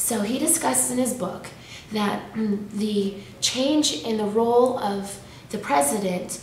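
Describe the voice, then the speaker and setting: With audible room echo and noticeable background noise, a woman talks at a fairly high pitch with ordinary pitch variation. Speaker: graduate student. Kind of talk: class presentation.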